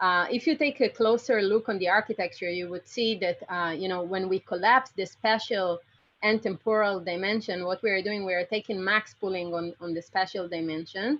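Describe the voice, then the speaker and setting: A woman talks at a fairly quick pace and medium pitch. Her pitch varies in an ordinary way. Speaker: computer vision researcher. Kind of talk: lecture. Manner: fast.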